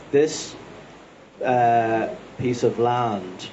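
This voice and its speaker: The speaker has a Dublin accent. Noticeable background noise sits behind the voice. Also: man. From Dublin, Ireland. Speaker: farmer and author. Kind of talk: panel talk. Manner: hesitant, repeats words.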